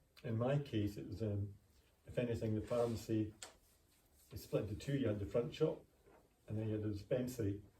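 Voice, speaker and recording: The voice has a Scottish accent and a dark, mellow, somewhat breathy tone. It moves at a fairly quick pace with ordinary pitch variation and long, frequent pauses. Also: man, fairly low pitch for a man. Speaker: retired pharmacist. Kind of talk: interview.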